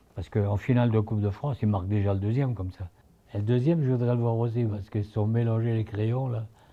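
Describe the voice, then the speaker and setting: Fairly quick in pace, a man speaks at a fairly low pitch with a dark, mellow tone that is somewhat breathy. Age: 80s+. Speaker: former football club president. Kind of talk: interview answer.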